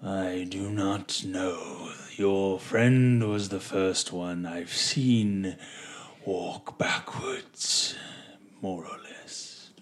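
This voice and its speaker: In a put-on character voice, a man speaks at a very slow pace with a fairly low pitch. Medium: actual play.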